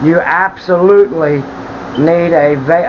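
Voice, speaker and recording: A man talks at a very slow pace with ordinary pitch variation. Noticeable background noise runs under his voice. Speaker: tiny home builder. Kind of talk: video walkthrough tour. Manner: halting, stumbles over words; casual, conversational.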